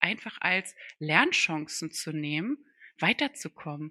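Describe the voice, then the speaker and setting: A woman's bright, sharp tone, dry and close with no echo, over a quiet background. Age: 40s. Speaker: podcast co-host, speech therapist. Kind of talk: casual chat.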